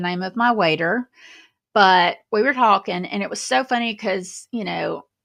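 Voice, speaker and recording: A woman's bright, sharp voice in a Southern US accent, fairly slow, with ordinary pitch variation. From Alabama. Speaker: YouTube commentary host. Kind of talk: casual livestream monologue. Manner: conversational, rambling with fillers.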